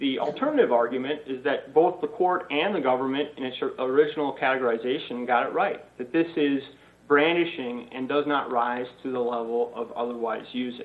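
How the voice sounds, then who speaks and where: A man with a normal speaking voice at medium pitch, fairly quick in pace, with ordinary pitch variation. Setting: video call. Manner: formal.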